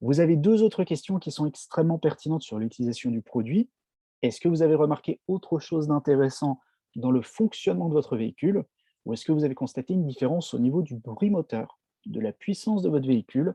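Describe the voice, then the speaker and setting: A man's fairly high voice, dark and mellow in tone, with lively intonation against a quiet background. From France, Strasbourg (Alsace). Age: 30s. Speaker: network marketing distributor. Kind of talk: product presentation. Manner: hesitant, frequent fillers.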